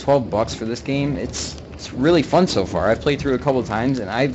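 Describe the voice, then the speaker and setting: A man speaking very fast with ordinary pitch variation, music in the background. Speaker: gaming streamer. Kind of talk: let's play commentary. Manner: laid back.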